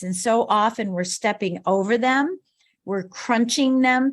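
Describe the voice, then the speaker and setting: Here is an ordinary speaking voice from a woman at a moderate pace with ordinary pitch variation. The recording is very clean, with a silent background. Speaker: business coach speaker. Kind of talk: motivational talk.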